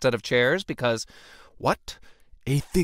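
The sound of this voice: This is an unforced reading voice. It simply reads.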